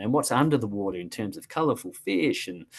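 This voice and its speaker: Talking at a fairly quick pace, a man with an Australian accent uses lively intonation. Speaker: cruise line sales representative. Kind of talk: sales presentation.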